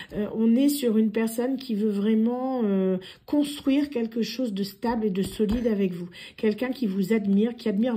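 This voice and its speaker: Her tone dark, mellow and somewhat breathy, a woman speaks at a moderate pace with a fairly high pitch and ordinary pitch variation. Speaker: tarot card reader. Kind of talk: tarot reading monologue. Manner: hesitant, many fillers.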